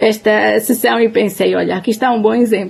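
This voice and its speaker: The woman talks at a moderate speed, her fairly high voice carrying a dark, mellow tone. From Portugal, Trás-os-Montes. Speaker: humanitarian anthropologist. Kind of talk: webinar talk. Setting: online webinar.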